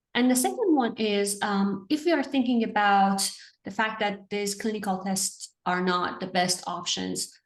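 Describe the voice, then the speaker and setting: A woman with an Iranian accent speaks at a medium pitch and a moderate pace, with ordinary pitch variation. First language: Farsi. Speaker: interviewer, therapy educator. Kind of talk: interview.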